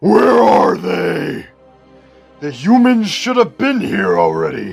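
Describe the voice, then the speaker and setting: Over faint music in the background, a man performs a put-on character voice at a fairly high pitch and a fairly slow pace. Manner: growling.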